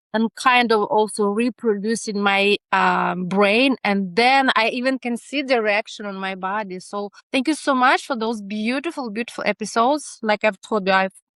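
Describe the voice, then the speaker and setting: A woman speaks in a Ukrainian accent at a fairly high pitch. She keeps a moderate pace with ordinary pitch variation and hardly any pauses. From Ukraine. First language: not English. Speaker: neurodiversity researcher. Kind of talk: podcast interview. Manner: animated; halting.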